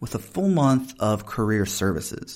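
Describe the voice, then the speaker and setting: A man with a Southern US accent speaks at a moderate pace on a very clean recording with a silent background. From US South. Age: 30s. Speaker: podcast host and professor. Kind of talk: casual interview conversation.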